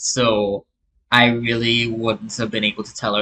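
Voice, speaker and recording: The tone is bright and sharp, with monotone, flat intonation at a moderate pace. The sound is dry and close, with no echo. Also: man. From Trinidad, north (Port of Spain area). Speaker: YouTube reaction commentator. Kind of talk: casual reaction commentary. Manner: hesitant, many fillers and restarts.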